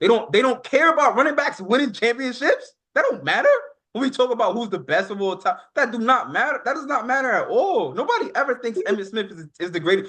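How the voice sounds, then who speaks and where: Loud and animated, a man with an extremely high pitch talks at a very fast pace with lively intonation and a bright, sharp tone. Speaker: sports podcast co-host. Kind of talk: heated sports debate.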